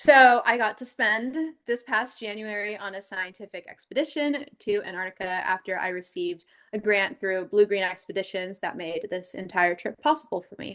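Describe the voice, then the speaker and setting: A woman speaks at a moderate pace with a medium pitch. Her pitch varies in an ordinary way, but her loudness swings a lot. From US Pacific Northwest (Seattle area). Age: 20s. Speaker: marine biologist and underwater photographer. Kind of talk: presentation talk.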